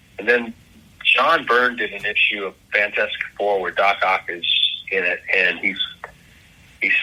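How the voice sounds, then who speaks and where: With long, frequent pauses and noticeable background noise, a man talks at a fairly slow pace. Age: 60s. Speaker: comic book artist. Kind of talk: casual interview chat. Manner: halting, repeats words.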